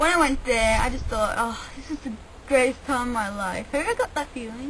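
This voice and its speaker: A woman with an Australian accent, at a moderate pace, ordinary pitch variation, noticeable background noise behind her. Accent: Australian-tinged English. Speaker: vlogger. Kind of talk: casual chat. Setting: outdoors. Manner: rambling casual with fillers.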